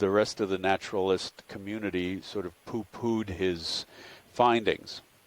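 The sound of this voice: An unforced reading voice, its intonation fairly even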